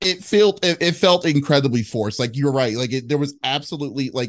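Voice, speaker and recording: Speaking at a fairly quick pace, a man with an ordinary speaking voice uses lively intonation. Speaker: interviewer. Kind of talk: casual interview. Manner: filler-heavy, stumbling.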